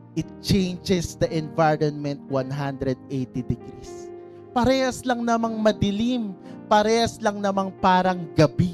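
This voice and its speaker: Music plays in the background. The speech comes at a fairly slow pace. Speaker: preacher. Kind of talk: sermon preaching.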